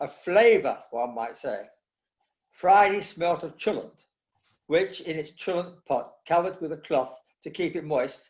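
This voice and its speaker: The speech moves at a moderate pace. Its pitch varies in an ordinary way. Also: man. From East End of London. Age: 80s+. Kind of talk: talk. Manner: passionate, enthusiastic.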